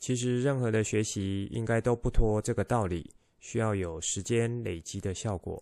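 Over a quiet background, a dark, mellow tone carries ordinary pitch variation. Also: man. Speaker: podcast host and mind-map instructor. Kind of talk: solo podcast monologue. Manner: slow; calm, soothing.

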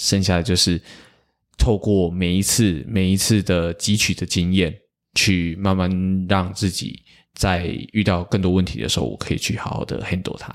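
Very clean and silent in the background, this recording has a man speaking at a moderate pace. His voice is very deep and low, with fairly even intonation. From Taiwan, Tainan. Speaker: street performer, pipe percussionist. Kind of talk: interview conversation.

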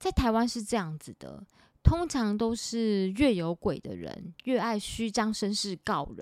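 On a very clean recording with a silent background and a dry, close sound with no echo, a woman with an unremarkable speaking voice talks at a fairly slow pace with lively intonation. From Taiwan, Taipei. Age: 40s. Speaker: podcast host and author. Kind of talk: casual monologue; sponsored product pitch.

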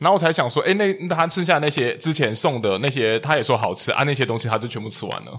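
A man's fairly high-pitched voice at a very fast pace, lively in intonation with hardly any pauses, over noticeable background noise. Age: 30s. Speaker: podcast co-host. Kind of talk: casual chat.

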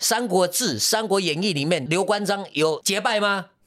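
A man in an animated tone at a moderate pace. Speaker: theatre director. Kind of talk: casual interview chat.

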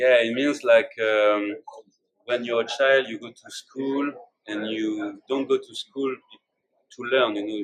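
A man with a French accent at a moderate pace. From France, Bordeaux. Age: 30s. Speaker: singer-songwriter and guitarist. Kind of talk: interview. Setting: live recording with interpreter. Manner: halting.

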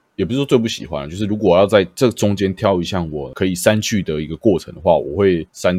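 In a very clean recording with a silent background, a man talks at a fairly quick pace with hardly any pauses. His pitch is very deep and low, with ordinary pitch variation. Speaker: podcast host and streamer. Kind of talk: casual chat. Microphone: new microphone.

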